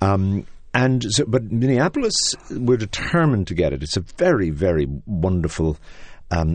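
A man speaks with an Irish accent. His intonation is lively. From Ireland. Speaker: theater artistic director. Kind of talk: interview. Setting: studio.

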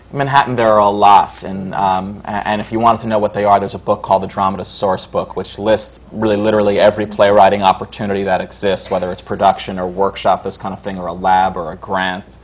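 A man with an American accent talks at a very fast pace with hardly any pauses, at a fairly low pitch. His intonation is monotone and flat, and there is noticeable background noise. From New York, Westchester County. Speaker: playwright. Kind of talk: panel discussion.

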